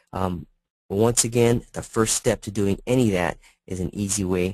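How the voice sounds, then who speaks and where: A man talks with a very deep, low pitch. His pitch varies in an ordinary way. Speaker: product presenter. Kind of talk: webinar presentation. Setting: online webinar. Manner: fast.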